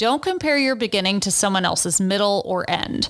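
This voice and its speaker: The recording is very clean, with a silent background. A normal speaking voice moves at a moderate pace with lively intonation. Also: woman. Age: 30s. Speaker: podcast host and fashion blogger. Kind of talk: advice segment; casual chat. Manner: conversational, upbeat.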